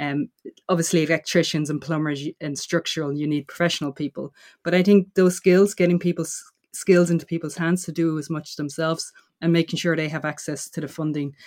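In a very clean recording with a silent background, a woman with a fairly low pitch uses an ordinary speaking voice at a fairly quick pace. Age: 40s. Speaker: systems designer and housing activist. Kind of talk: interview.

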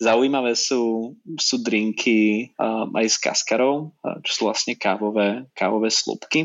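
A man in an unremarkable speaking voice talks at a fairly slow pace, with medium pitch and fairly even intonation. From Slovakia, Nitra. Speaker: magazine publisher. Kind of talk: interview.

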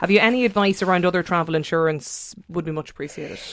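Her pitch is fairly low, with ordinary variation. The woman speaks with an Irish accent. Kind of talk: radio interview. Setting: studio.

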